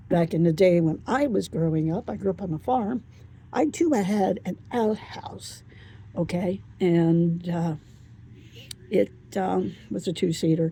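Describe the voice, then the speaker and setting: With a dark, mellow tone and a fairly low pitch, a woman sounds somewhat breathy and uses lively intonation. She moves at a fairly slow pace with long, frequent pauses. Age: 70s. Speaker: thrift vlogger. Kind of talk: casual vlog narration.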